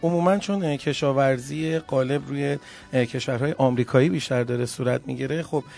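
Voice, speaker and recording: Music plays behind a man whose pitch is fairly high. He speaks at a moderate pace with fairly even intonation. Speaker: radio podcast host. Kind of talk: radio show presenting; storytelling.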